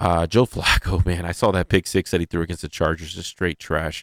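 A man with a very deep, low pitch talks at a fairly quick pace. The recording is very clean with a silent background and a dry, close sound with no echo. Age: 30s. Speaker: sports radio co-host. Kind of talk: casual sports talk show. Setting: studio. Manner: halting, many fillers.

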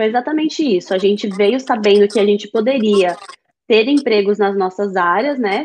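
This is a woman at a medium pitch. She has a normal speaking voice. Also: ordinary pitch variation, moderate pace. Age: 30s. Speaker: Brazilian immigrant mother. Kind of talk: casual chat.

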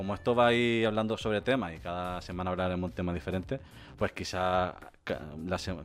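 A man speaks at a fairly quick pace with a very deep, low pitch. His pitch varies in an ordinary way, and music plays in the background. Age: 30s. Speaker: podcast host. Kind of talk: casual chat. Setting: live stream.

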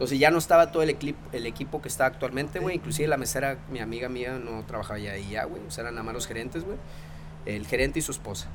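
A man with a northern Mexican accent, very fast pace and lively intonation, noticeable background noise behind him. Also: medium pitch for a man. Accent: northern Mexican (norteño) Spanish. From Mexico, Sabinas Hidalgo, Nuevo León. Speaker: chef. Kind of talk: casual chat. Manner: very casual, filler-heavy speech.

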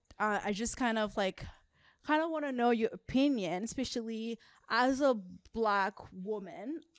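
A woman with an ordinary speaking voice, fairly high pitch, ordinary pitch variation, and a moderate pace. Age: 20s. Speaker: podcast co-host. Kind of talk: casual chat.

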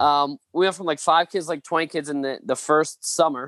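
A man with an ordinary speaking voice talks at a moderate pace in a fairly high pitch with fairly even intonation, the sound dry and close with no echo against a quiet background. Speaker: pastor and author. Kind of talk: casual interview, storytelling.

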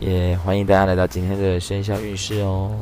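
A man is speaking in a room with audible echo. Noticeable background noise is present too. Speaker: podcast host. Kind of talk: casual chat. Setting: convenience store.

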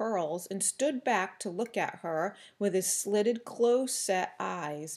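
The intonation is lively throughout. The delivery is plain reading aloud.

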